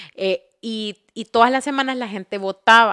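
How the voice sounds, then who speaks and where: The recording is very clean with a silent background and a dry, close sound with no echo. A woman speaks slowly-ish in a normal speaking voice, fairly high in pitch, at a fairly slow pace. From Honduras. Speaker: podcast host. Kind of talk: interview.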